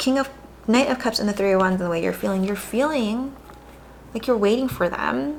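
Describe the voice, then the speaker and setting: This woman talks at a fairly quick pace, her fairly high voice carrying lively intonation. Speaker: tarot reader. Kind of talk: tarot reading. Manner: fast; casual, filler-heavy.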